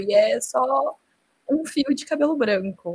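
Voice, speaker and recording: A woman is speaking. Her voice sits high in pitch. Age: 20s. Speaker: advertising professional. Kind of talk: casual chat.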